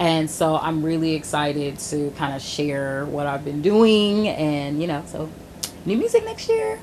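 Over noticeable background noise and audible room echo, a woman speaks at a fairly slow pace. Her pitch is very deep and low, with ordinary variation. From Augusta, Georgia, US South. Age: 30s. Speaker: R&B singer-songwriter. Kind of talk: casual interview.

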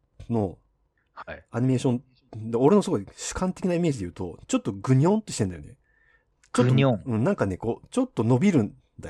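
A man with a dark, mellow, somewhat breathy tone at medium pitch, very fast pace broken by long, frequent pauses, very wide pitch swings and big swings in loudness, in a dry, close sound with no echo. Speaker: podcast host. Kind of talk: casual chat.

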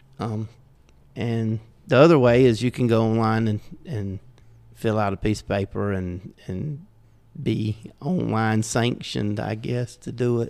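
With a Southern US accent, a man talks at a fairly slow pace, his loudness swinging widely and his speech broken by long, frequent pauses. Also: medium pitch for a man, ordinary pitch variation. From US South. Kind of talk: casual podcast chat.

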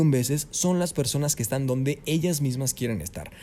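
A somewhat breathy, dark, mellow voice at a fairly quick pace. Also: man. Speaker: voice actor and announcer. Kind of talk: interview. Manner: clear diction.

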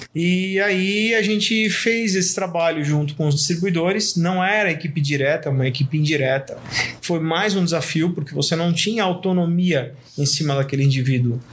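Against noticeable background noise, a man with a high pitch keeps very even loudness and ordinary pitch variation. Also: moderate pace. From Brazil, São Paulo metro area. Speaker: graphic designer. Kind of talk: casual interview chat.

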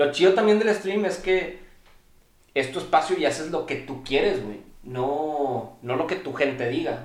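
A man with a Mexican accent, fairly high pitch and lively intonation, at a fairly slow pace amid noticeable background noise and audible room echo. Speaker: streamer. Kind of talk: casual chat.

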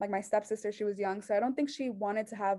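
A woman speaks with a Mexican accent at a medium pitch. Her tone is dark and mellow. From Mexico, raised there after US birth. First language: Spanish. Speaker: journalism student. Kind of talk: testimony.

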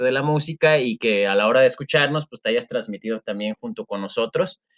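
The speech moves at a fairly quick pace with ordinary pitch variation. It sounds dry and close, without echo. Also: man. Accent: Mexican. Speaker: podcast co-host, teacher. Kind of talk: casual chat.

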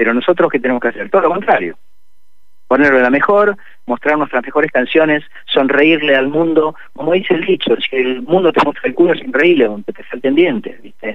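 This man has a normal speaking voice, a fairly high pitch and lively intonation. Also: fairly quick pace. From Argentina. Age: 60s. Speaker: musician. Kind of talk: radio interview.

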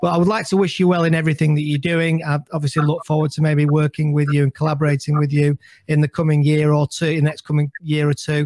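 A man speaks at a very fast pace with hardly any pauses, in a somewhat breathy, fairly high voice. His intonation is monotone and flat, and the sound is dry and close with no echo. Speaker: podcast host. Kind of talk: casual interview.

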